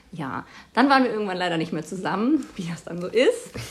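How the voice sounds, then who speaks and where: A woman speaks at a moderate pace in a medium pitch, her somewhat breathy voice carrying lively intonation. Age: 30s. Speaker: teacher. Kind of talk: interview. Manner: hesitant, many fillers.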